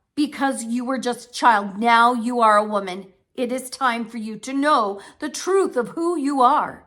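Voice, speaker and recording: A female-sounding put-on character voice speaks at a high pitch and a moderate pace, with hardly any pauses. The recording is very clean, with a silent background. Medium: read story. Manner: gentle, serious.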